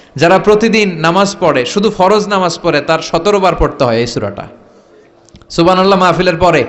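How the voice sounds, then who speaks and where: A man speaks high in pitch, with ordinary pitch variation, against noticeable background noise. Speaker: Islamic preacher. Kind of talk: Islamic sermon (waz) to a live crowd. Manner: rhetorical, call-and-response with audience.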